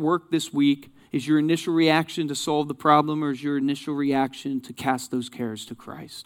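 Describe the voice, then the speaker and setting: Speaking in an ordinary speaking voice at a moderate pace, a man keeps his intonation fairly even on a very clean recording with a silent background. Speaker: guest preacher. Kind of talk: sermon. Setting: church with live translator.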